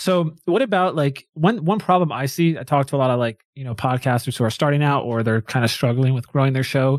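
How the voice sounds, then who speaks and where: A man speaks in a plain, everyday voice at a fairly high pitch, with ordinary pitch variation, a fairly quick pace and hardly any pauses, recorded very cleanly against a silent background with a dry, close sound and no echo. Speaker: podcast host. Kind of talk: casual interview. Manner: upbeat, conversational.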